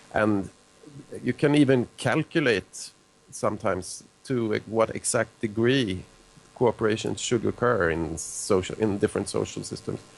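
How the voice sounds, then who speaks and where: Fairly slow speech from a man, fairly low in pitch, with ordinary pitch variation. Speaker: evolutionary biologist and author. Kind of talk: live call-in show interview.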